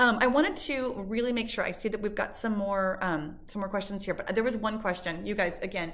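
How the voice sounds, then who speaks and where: In a room with audible echo, a woman of medium pitch talks at a fairly quick pace with hardly any pauses and ordinary pitch variation. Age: 50s. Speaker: fitness instructor. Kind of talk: live stream Q&A. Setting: live stream. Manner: animated.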